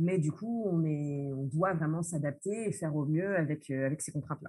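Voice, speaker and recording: Fairly slow and somewhat breathy, a woman talks at a very deep, low pitch. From France. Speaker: social entrepreneur, association founder. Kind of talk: interview. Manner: hesitant, frequent fillers.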